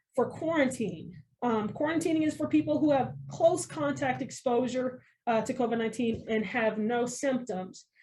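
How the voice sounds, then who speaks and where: Her voice is high for a woman, with a dark, mellow tone, and she speaks at a moderate pace. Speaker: school medical technician. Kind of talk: informational interview. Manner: frequent filler ums.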